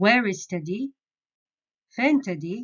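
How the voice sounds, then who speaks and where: A Jeddah accent with lively intonation. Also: woman. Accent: Hijazi Saudi Arabic, Jeddah. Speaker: Arabic dialect teacher. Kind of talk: beginner language lesson.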